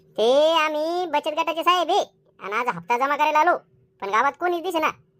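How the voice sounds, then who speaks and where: A woman's squeaky, cartoonish character voice, high-pitched, at a moderate pace, with ordinary pitch variation. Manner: bossy, whiny rustic Marathi.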